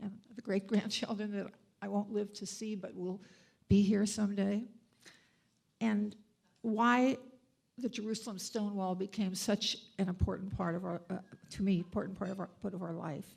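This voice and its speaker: Monotone, flat intonation with an American accent, somewhat breathy and broken by long, frequent pauses. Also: woman, medium pitch for a woman, moderate pace. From USA. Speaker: donor and board member. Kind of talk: dedication speech. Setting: event with audience. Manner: halting.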